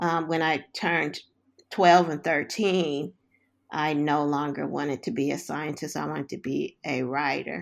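A woman's very deep, low voice in an American accent, with vocal fry, ordinary pitch variation and a fairly slow pace, on a very clean recording with a silent background. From US West Coast, South Central Los Angeles. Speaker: social worker and psychotherapy researcher. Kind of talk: interview.

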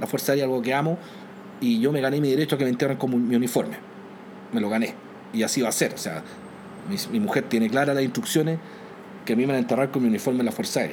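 A man with a Chilean accent talks at a very fast pace with lively intonation. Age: 40s. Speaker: airline captain and former air force pilot. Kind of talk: interview storytelling.

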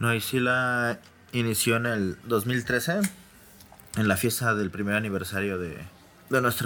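A man's unremarkable speaking voice, fairly low in pitch, fairly even in intonation and fairly slow in pace. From Mexico City. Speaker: electronic music DJ and producer. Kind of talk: casual interview.

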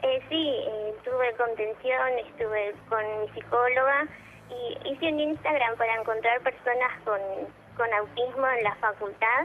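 A woman speaks with a high pitch at a fairly slow pace, her intonation fairly even. Noticeable background noise is present. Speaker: caller. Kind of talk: phone-in call.

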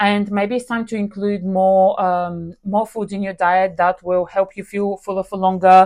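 Over a quiet background, a woman of medium pitch talks at a moderate pace with hardly any pauses. Her intonation is monotone and flat. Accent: Bulgarian. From Bulgaria. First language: Bulgarian. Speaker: nutrition podcast host. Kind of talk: solo podcast talk. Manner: hesitant, many fillers.

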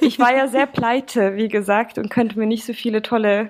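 Ordinary pitch variation from a woman speaking fairly high. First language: Swedish (speaking German). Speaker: musician and bassist. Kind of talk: podcast interview.

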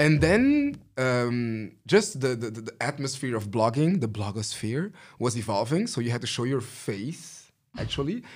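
A man with an ordinary speaking voice talks at a moderate pace, medium pitch and lively intonation. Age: 30s. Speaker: fashion stylist. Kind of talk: casual chat.

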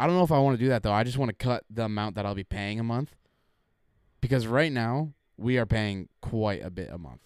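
The delivery is fairly quick, with lively intonation, in an ordinary speaking voice. No echo, just a dry, close sound. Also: man, medium pitch for a man. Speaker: podcast co-host. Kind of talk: casual chat.

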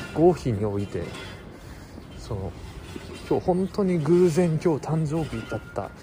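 A man speaks at a fairly high pitch and a fairly slow pace, his pitch swinging very widely. Long, frequent pauses break up his speech, with music playing in the background. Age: 20s. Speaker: vlogger. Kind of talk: vlog monologue. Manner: halting, many fillers.

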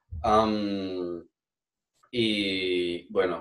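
The speaker is a man. His voice is fairly low in pitch. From Venezuela, Táchira. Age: 20s. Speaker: Venezuelan emigrant interviewee. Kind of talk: casual interview.

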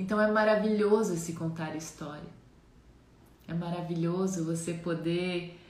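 Amid audible room echo, a woman of medium pitch speaks at a fairly slow pace with monotone, flat intonation. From Santa Catarina, Brazil (Jaraguá do Sul). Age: 30s.

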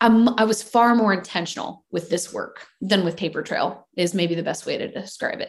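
A woman with an American accent speaks at medium pitch and a moderate pace, somewhat breathy, with ordinary pitch variation. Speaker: songwriter and singer. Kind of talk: casual interview chat.

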